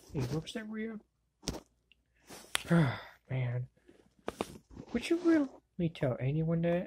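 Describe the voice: In a cartoonish character voice, a woman speaks slowly with a fairly low pitch, big pitch swings, a dark, mellow tone and a slightly husky edge.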